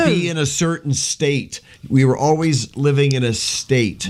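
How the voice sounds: A man speaks fairly slowly in an ordinary speaking voice. His pitch is fairly high, with ordinary variation.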